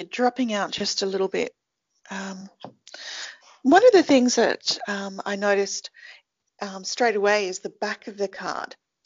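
Long, frequent pauses break up a woman's speech in an Australian accent at a fairly slow pace. Her pitch is medium and her intonation fairly even, while her loudness swings widely. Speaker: podcast host. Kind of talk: interview.

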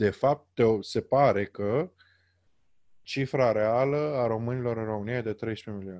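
A man with an unremarkable speaking voice talks fairly slowly at medium pitch, with ordinary pitch variation. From Romania. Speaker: podcast host. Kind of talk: interview. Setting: internet call.

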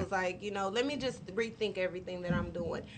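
Here a woman speaks in a normal speaking voice. Her pitch is medium, with ordinary variation. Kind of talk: casual chat. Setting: studio.

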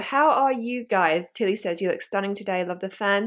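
A woman speaks in an animated, bright and sharp tone. The recording is very clean, with a silent background. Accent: southern English. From southeast England. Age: 20s. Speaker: podcast host. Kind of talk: casual chat. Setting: live video stream at home.

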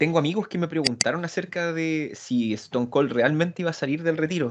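A man with a Chilean accent, lively intonation and a fairly quick pace. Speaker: wrestling podcast panelist. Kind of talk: casual chat.

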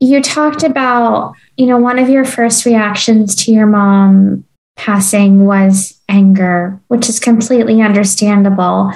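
The woman's voice is somewhat breathy and medium in pitch, with ordinary pitch variation. She keeps a fairly slow pace and very even loudness. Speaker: podcast host. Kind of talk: interview conversation.

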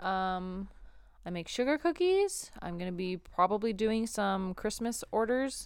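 A woman's unremarkable speaking voice with a Canadian accent, lively intonation and a fairly slow pace, in a very clean recording with a silent background. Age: 20s. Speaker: podcast co-host. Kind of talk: casual chat.

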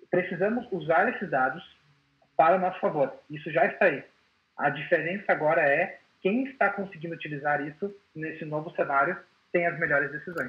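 This man's voice sits at a high pitch. He leaves long, frequent pauses. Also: ordinary pitch variation, fairly quick pace. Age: 30s. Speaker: IT consultant. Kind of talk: webinar presentation.

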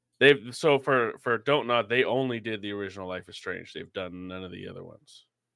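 A plain, everyday voice from a man at medium pitch, fairly quick with hardly any pauses, ordinary pitch variation and big swings in loudness. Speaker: editor-in-chief, games journalist. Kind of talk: casual chat.

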